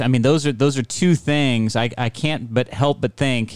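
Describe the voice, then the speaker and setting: On a very clean recording with a silent background, a man has an unremarkable speaking voice. He talks at a fairly slow pace with ordinary pitch variation. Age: 50s. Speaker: podcast host. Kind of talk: casual interview. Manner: playful, joking.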